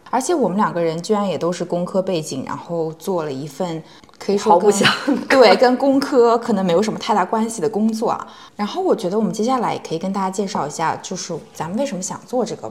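Over noticeable background noise, a woman speaks at a fairly quick pace in a medium pitch, her intonation lively. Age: 20s. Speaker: podcast co-host, tech company HR. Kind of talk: casual chat.

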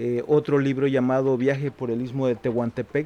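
An Oaxacan accent at a fairly slow pace, with noticeable background noise. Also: man. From Mexico, Juchitán, Oaxaca. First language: Zapotec (speaking Spanish). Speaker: writer and poet. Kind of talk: interview.

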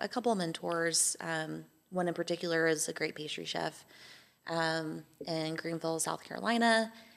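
In a plain, everyday voice with an American accent, a woman speaks at a moderate pace and a fairly low pitch, her intonation fairly even, on a very clean recording with a silent background. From Texas, Amarillo. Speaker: baker and small business owner. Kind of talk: interview conversation.

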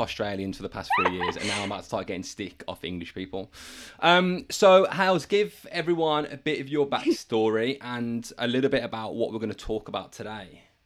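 Delivered at a fairly quick pace with hardly any pauses, the speech has noticeable background noise behind it. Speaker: podcast host. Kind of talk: casual interview chat.

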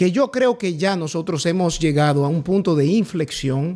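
Pitch varies in a typical way in a normal speaking voice. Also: man. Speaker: party legal secretary, politician. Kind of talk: political interview. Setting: studio.

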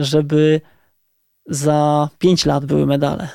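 In a very clean recording with a silent background, a man speaks in a dark, mellow tone. The sound is dry and close with no echo, and his intonation is monotone and flat. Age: 40s. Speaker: marathon runner and coach. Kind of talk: casual interview. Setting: studio.

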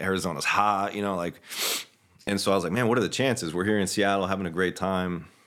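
In an American accent, a man talks at a very fast pace with very deep, low pitch on a very clean recording with a silent background. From US South, Florida (Orlando, Fort Lauderdale). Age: 40s. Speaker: physical therapist and clinic co-owner. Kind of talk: casual chat.

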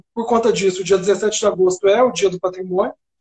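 The recording is dry and close with no echo as a man speaks with fairly even intonation. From Minas Gerais, Brazil (interior, Serra da Canastra). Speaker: architect and urban planner. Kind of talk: casual interview.

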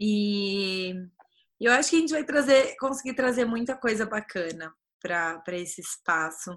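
A woman with a fairly high voice talks fairly slowly, her intonation lively. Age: 20s. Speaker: podcast host, community founder. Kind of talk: casual chat.

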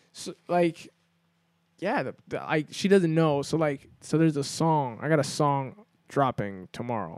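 On a very clean recording with a silent background, a man speaks at a fairly high pitch and fairly slow pace. The sound is dry and close, with no echo, and his intonation is lively. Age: 20s. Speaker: podcast co-host. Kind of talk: casual chat. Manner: animated.

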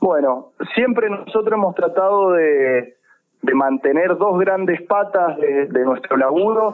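A man with a high pitch speaks very slowly, his intonation lively and his loudness very even. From Mendoza, Argentina. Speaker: health foundation activist. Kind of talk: radio interview.

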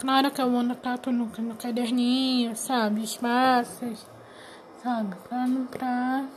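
A woman's high voice at a fairly slow pace, monotone and flat. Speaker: podcast host and aspiring writer. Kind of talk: unscripted solo monologue. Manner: halting, many fillers; louder after adjusting.

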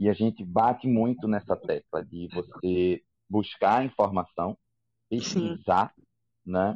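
A man speaks at a very slow pace with long, frequent pauses, the sound dry and close with no echo. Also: fairly low pitch for a man, ordinary pitch variation. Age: 30s. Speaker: podcast host, sales representative. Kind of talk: casual chat.

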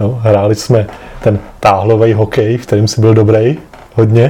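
A man with a medium-pitched, somewhat breathy voice and a dark, mellow tone talks at a moderate pace in a monotone, flat intonation. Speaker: podcast host, grandson. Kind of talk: family interview. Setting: home apartment.

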